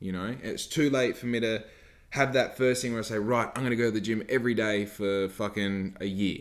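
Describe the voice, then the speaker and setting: Speaking at a fairly quick pace with an Australian accent, a man keeps a medium pitch and fairly even intonation. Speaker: podcast host, small business owner. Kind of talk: casual podcast talk.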